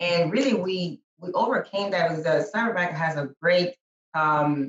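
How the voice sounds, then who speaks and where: Somewhat breathy, a woman with a fairly low pitch speaks at a moderate pace. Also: ordinary pitch variation. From Dominican-American, New York and Dominican Republic. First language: Spanish. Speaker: business owner, real estate client. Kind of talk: podcast interview. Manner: halting, many fillers and repeats.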